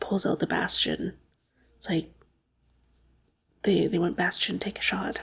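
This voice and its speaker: The speaker is whispering at a fairly slow pace. There are long, frequent pauses. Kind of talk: ASMR gaming ramble. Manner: soft-spoken.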